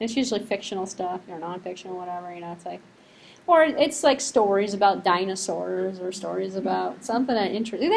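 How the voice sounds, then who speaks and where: Talking at a very fast pace, a woman with an American accent keeps a medium pitch and ordinary pitch variation. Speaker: university lecturer. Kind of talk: lecture. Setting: classroom. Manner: casual, conversational.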